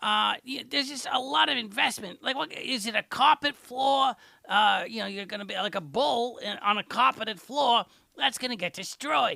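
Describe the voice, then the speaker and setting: A man uses a put-on character voice at an extremely high pitch. His pace is moderate. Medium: audio drama. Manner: rambling, digressive.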